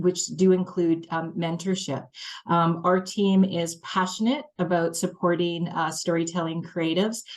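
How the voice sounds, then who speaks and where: A woman's normal speaking voice, fairly low in pitch and fairly even in intonation, with a Canadian accent, at a fairly slow pace over a quiet background. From Canada, small-town Manitoba. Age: 50s. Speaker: head of a film training organization. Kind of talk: panel discussion introduction.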